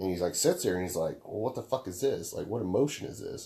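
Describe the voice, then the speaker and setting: Speaking at a very fast pace, a man uses lively intonation in a somewhat breathy voice with a dark, mellow tone. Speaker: podcast host. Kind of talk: casual chat. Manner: animated.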